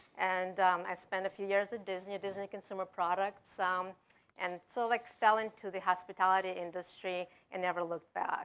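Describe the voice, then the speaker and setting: Speaking with a European accent, a woman holds a monotone, flat intonation at a moderate pace and medium pitch. The recording is very clean with a silent background. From Denmark. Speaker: technology executive. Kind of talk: panel discussion.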